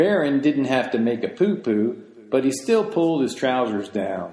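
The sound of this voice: This is an unforced reading voice. The words are read in an unforced reading voice throughout.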